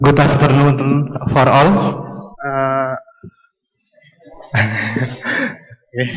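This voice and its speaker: With an Indonesian accent, a man speaks in a room with audible echo. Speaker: audience member asking a question. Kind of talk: conference Q&A question. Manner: halting.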